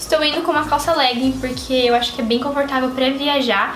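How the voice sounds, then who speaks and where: At a fairly quick pace, a woman talks over faint music in the background. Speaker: lifestyle vlogger. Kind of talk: casual vlog chat. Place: home room. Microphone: camera far.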